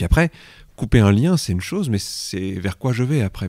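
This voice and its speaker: A man speaks very fast, with a dark, mellow tone and lively intonation. The sound is dry and close, with no echo. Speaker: hypnosis practitioner and trainer. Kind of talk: interview answer.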